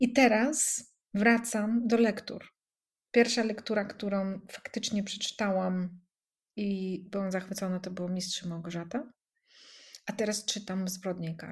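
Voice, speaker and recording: Somewhat breathy, a woman talks at a fairly slow pace with a medium pitch, fairly even intonation and big swings in loudness. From Russian-speaking country. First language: Russian (speaking Polish). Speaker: coach. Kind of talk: casual chat.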